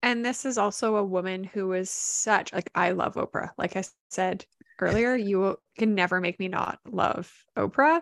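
Dry and close with no echo, a woman speaks in a normal speaking voice at medium pitch and moderate pace with ordinary pitch variation. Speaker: podcast co-host. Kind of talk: casual chat.

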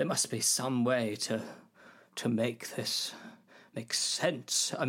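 This is an unforced reading voice. Nothing else stands out in the delivery.

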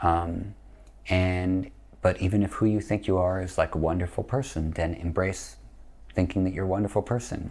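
A man with an American accent and a very deep, low, somewhat breathy voice, ordinary pitch variation, moderate pace. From US Northeast. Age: 50s. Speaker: yoga teacher. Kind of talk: podcast interview.

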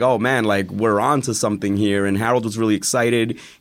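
Talking at a fairly quick pace with fairly even intonation, a man at medium pitch has a plain, everyday voice and an American accent. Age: 30s. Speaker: teacher. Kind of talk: casual chat.

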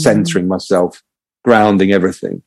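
A man talks at a fairly quick pace. He has an English accent. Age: 40s. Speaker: ex pro footballer and performance coach. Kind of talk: casual chat. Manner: halting.

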